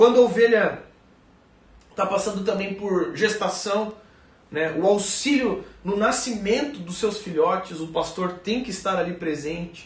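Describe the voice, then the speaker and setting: There is audible room echo and noticeable background noise. Through it, a man talks at a moderate pace with ordinary pitch variation. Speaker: pastor. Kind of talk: sermon.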